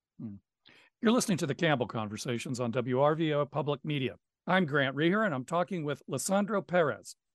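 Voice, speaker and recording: A man speaks at a fairly quick pace with a fairly high pitch and lively intonation, in an unremarkable speaking voice. The sound is dry and close with no echo, and the background is quiet. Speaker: radio host. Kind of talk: interview. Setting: studio.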